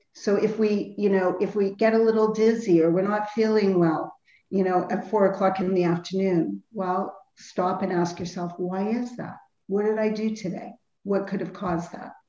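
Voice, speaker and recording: A woman's medium-pitched voice with a dark, mellow tone, monotone, flat intonation, a moderate pace and audible room echo. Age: 50s. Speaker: health and nutrition counselor. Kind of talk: interview. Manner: halting.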